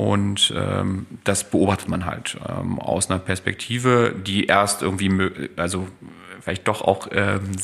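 A man speaks at a fairly low pitch. His intonation stays monotone and flat. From East Germany. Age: 40s. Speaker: neurologist. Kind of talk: casual interview. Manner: halting, many filler sounds.

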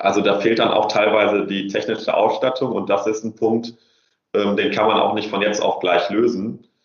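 A man speaks at a moderate pace. His fairly low pitch holds a monotone, flat intonation. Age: 20s. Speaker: youth welfare consultant. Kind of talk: interview. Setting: remote call. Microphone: poor audio quality.

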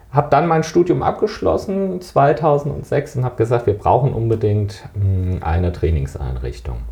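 A man of medium pitch at a fairly slow pace, very wide pitch swings, over noticeable background noise. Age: 40s. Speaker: fitness trainer and sports economist. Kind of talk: interview.

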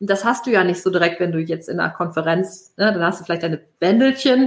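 Talking very fast, a woman keeps to a medium pitch and lets it vary in an ordinary way. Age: 40s. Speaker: networking consultant and author. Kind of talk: casual interview chat. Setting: LinkedIn live stream. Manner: many fillers, halting.

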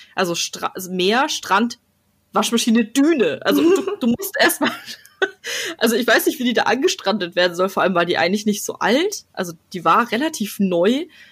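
Moving through very wide pitch swings, a woman with a fairly high voice speaks at a moderate pace. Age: 20s. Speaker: podcast host. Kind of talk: casual chat.

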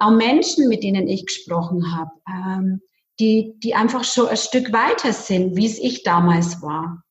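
An ordinary speaking voice from a woman, medium in pitch, with lively intonation at a fairly slow pace. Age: 40s. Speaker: bank clerk and network marketer. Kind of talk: interview.

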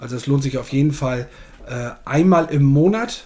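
This man has an ordinary speaking voice, fairly high in pitch, moving at a moderate pace with ordinary pitch variation. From northern Germany, Ammerland. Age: 40s. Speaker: error coach, podcast co-host. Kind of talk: casual interview chat.

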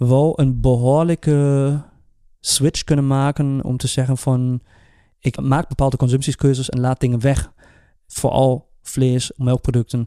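A man with a German accent speaks at a fairly slow pace in a medium pitch, his dark, mellow tone held in a monotone, flat intonation, with dry, close sound, no echo, and a very clean recording over a silent background. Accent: German-accented Dutch. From Germany. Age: 30s. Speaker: podcast co-host. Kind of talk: casual chat. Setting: studio.

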